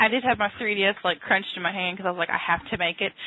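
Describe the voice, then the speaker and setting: A woman's medium-pitched voice in a Southern US accent at a very fast pace, with ordinary pitch variation and noticeable background noise. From US South, Tennessee. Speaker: podcast co-host. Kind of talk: casual chat.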